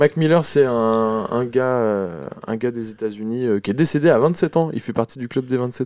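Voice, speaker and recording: A man speaks in an unremarkable speaking voice at a medium pitch, with ordinary pitch variation. There are hardly any pauses. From France, Noirmoutier. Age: 20s. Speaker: musician. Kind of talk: casual interview. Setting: in a bus studio.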